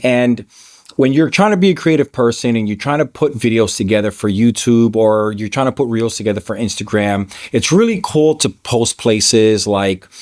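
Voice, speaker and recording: This man talks at a moderate pace in an ordinary speaking voice. His pitch is medium, with ordinary variation. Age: 40s. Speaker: filmmaker. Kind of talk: casual talk to camera.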